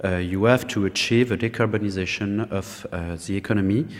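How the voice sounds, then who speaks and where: A man in a French accent speaks at a moderate pace, with a fairly low pitch and fairly even intonation. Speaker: government program director. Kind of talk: conference talk. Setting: conference panel with audience.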